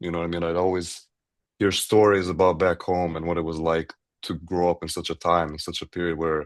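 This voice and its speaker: A man with a very deep, low voice speaks at a moderate pace in a slight Albanian accent. The background is quiet. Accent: slight Albanian-tinged. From Grand Rapids, Michigan, Albanian community. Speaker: university student. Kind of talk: podcast interview.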